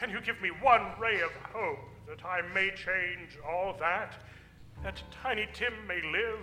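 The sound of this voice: A man performs a put-on character voice, high-pitched with a bright, sharp tone and ordinary pitch variation. He goes at a fairly slow pace, and the room echo is audible.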